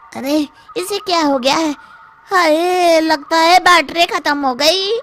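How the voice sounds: A woman performs a cartoonish character voice at a fairly slow pace.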